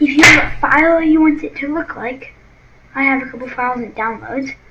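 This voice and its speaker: There is noticeable background noise as a woman speaks at a moderate pace. Her pitch is high, with ordinary variation. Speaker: gaming channel creator. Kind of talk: tutorial. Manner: halting.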